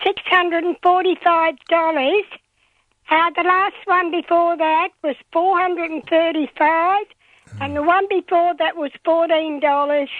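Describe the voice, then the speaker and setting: A woman with an Australian accent, extremely high-pitched, flat and monotone, at a fairly slow pace. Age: 80s+. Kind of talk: radio talkback caller. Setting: phone line.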